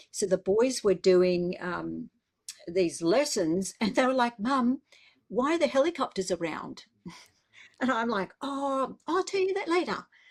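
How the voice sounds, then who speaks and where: With an Australian accent, a woman talks fairly slowly at a fairly high pitch that swings very widely. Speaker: biblical scholar. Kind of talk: casual chat.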